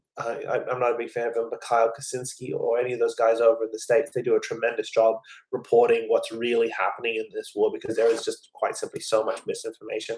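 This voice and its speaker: A man with an American accent talks at a very fast pace. He leaves hardly any pauses. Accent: sometimes sounds American. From western Sydney, Australia. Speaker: live-stream football show host. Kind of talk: live stream commentary reading news. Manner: halting, repeats words.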